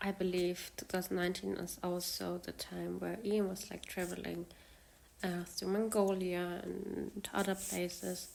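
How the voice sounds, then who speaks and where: With a non-native accent, a woman talks at a fairly slow pace. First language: not English. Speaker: fan video creator. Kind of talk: casual monologue. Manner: halting, many fillers.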